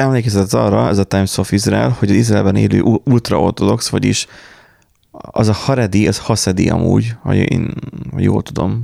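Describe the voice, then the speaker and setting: With a plain, everyday voice, a man speaks at a moderate pace, his fairly low pitch carried by lively intonation. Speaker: podcast host. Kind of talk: casual chat.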